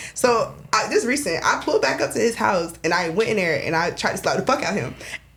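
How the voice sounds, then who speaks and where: A woman speaks in an animated tone at a fairly quick pace, her pitch swinging very widely, with music in the background. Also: medium pitch for a woman. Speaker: florist, podcast guest. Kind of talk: casual chat.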